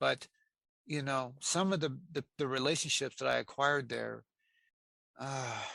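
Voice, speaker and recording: Speaking with a Pacific Northwest accent, a man has a fairly high pitch and a bright, sharp tone. The sound is dry and close with no echo, over a quiet background. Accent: American, Pacific Northwest. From US Pacific Northwest (Aberdeen, Washington). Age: 60s. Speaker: interviewee sharing life story, former prisoner. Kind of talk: interview testimony. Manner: halting, many fillers and repetitions.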